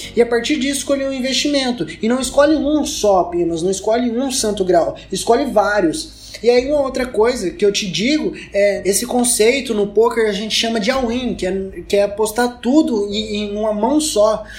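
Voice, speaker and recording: Noticeable background noise sits behind a man whose voice is extremely high in pitch. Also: ordinary pitch variation, moderate pace, hardly any pauses. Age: 20s. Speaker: solo podcaster on personal finance. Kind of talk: solo monologue. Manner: casual, conversational.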